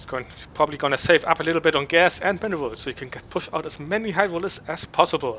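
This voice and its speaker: Speaking with a German accent, a man goes at a very fast pace. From Germany. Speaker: esports caster. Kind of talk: esports play-by-play commentary.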